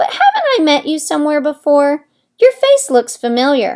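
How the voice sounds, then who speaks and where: Putting on a character voice, a woman speaks at a high pitch with lively intonation. She keeps a moderate pace. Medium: read story. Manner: haughty.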